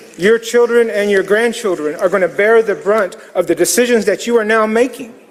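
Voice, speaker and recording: A man's high-pitched voice with very even loudness and fairly even intonation, over noticeable background noise. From US Southeast, Muscogee community. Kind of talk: public comment at city council. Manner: formal, solemn.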